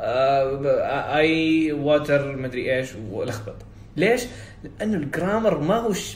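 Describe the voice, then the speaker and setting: Noticeable background noise sits behind a man talking with lively intonation. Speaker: IELTS coach and podcaster. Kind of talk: solo podcast monologue, casual and advisory. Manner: conversational, informal, code-switching with English.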